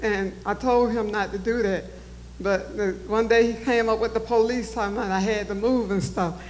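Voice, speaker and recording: With audible room echo, a woman talks at a moderate pace and keeps her intonation fairly even. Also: fairly high pitch for a woman. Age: 70s. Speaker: town hall attendee. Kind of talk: public comment. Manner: emotional, pleading.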